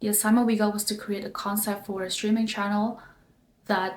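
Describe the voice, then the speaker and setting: A somewhat breathy woman's voice at medium pitch, with monotone, flat intonation. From Indonesia. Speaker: design student and vlogger. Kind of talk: casual vlog explanation. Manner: casual, with fillers.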